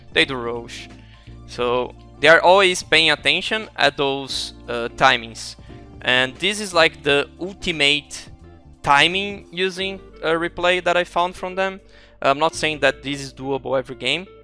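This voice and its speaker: A man with a non-native accent speaks at a fairly slow pace, his pitch fairly high with ordinary variation. Music plays in the background. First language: not English. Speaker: esports coach. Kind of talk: game analysis commentary.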